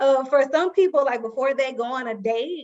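With a slight Southern US accent, the speaker moves at a moderate pace with ordinary pitch variation. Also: woman. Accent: light Southern twang. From Alabama. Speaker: guest.

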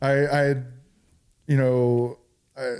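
The recording is very clean with a silent background. The speaker has a General American accent. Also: man. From California. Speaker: military veteran and CBD business owner. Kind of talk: casual interview.

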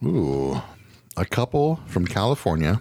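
This man's voice sits at a very deep, low pitch and swings very widely in pitch. The recording is very clean, with a silent background. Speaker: podcast host. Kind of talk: casual chat. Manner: animated.

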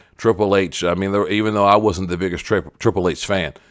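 Fairly even intonation on a very clean recording with a silent background. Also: man. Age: 40s. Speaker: podcast host, former wrestler. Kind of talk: solo podcast commentary. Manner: repetitive stammering.

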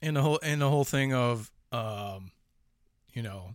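A man with a Chicago accent and ordinary pitch variation, in a very clean recording with a silent background. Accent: Chicago accent, still noticeable. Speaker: horror podcast host. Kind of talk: casual chat.

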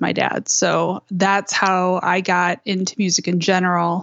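This woman has a Michigan accent. Her pitch is medium and her intonation fairly even. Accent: Midwestern US (Michigan). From Michigan, suburban Detroit. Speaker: podcast host, improv performer. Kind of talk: interview conversation.

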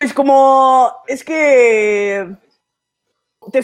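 With ordinary pitch variation, this woman talks in a high voice. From Mexico City. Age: 20s. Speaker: stand-up comedian. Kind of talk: casual chat. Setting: studio.

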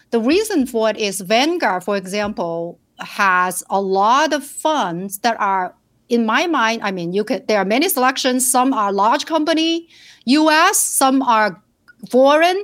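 On a very clean recording with a silent background, a woman with a Chinese accent speaks fairly slowly in a fairly high voice with very wide pitch swings. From China, rural southern village. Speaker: financial planner. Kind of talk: interview.

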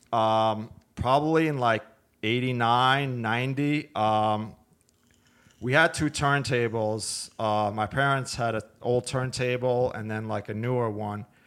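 On a very clean recording with a silent background, a man with a New York accent speaks at a fairly slow pace with fairly even intonation. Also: medium pitch for a man. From Brooklyn, New York (Brighton Beach). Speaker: audio equipment business owner. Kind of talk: casual interview.

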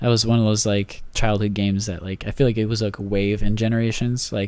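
In a plain, everyday voice, a man talks at a fairly quick pace. His pitch is fairly low and his intonation fairly even. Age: 20s. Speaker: podcast host and banker. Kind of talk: casual chat. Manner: casual, laughs often.

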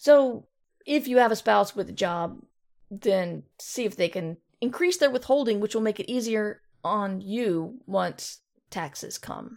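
A woman with a plain, everyday voice and fairly high pitch speaks at a fairly slow pace. Her intonation is lively, and the recording is very clean with a silent background. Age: 50s. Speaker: podcast host and fiction author. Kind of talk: casual solo talk with live chat. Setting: live stream.

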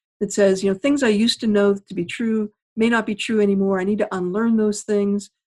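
Here a woman speaks with a plain, everyday voice at a medium pitch. Her pace is fairly quick and her intonation fairly even. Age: 50s. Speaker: author. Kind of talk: interview.

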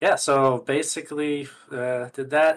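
In a Canadian accent, an unremarkable speaking voice moves along at a fairly slow pace. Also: man. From Canada. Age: 30s. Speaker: crypto gaming advocate. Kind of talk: casual chat.

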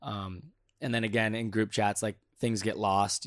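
Fairly quick speech with a Californian accent and monotone, flat intonation, on a very clean recording with a silent background. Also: man. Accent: Californian American. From Southern California (Santa Clarita). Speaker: volleyball player. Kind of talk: casual chat. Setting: indoors at World Championships in Poland.

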